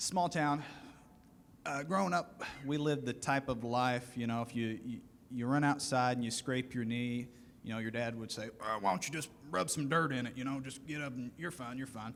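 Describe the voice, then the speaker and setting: A man with a Southern US accent, at a moderate pace with ordinary pitch variation. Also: medium pitch for a man. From US South, rural western Kentucky. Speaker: aviation student panelist. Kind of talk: panel discussion.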